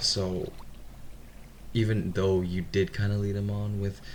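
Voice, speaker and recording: Over noticeable background noise, a man with a non-native accent and a very deep, low pitch speaks at a fairly slow pace with fairly even intonation. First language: not English. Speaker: reddit story reader, gamer. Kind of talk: reading aloud with casual commentary. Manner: some stuttering; casual.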